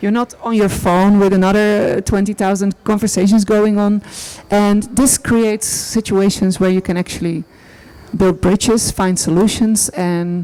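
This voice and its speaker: A woman with a Dutch accent speaks at a moderate pace and medium pitch in a dark, mellow, monotone, flat delivery of very even loudness. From Netherlands. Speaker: artist. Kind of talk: panel discussion. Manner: halting.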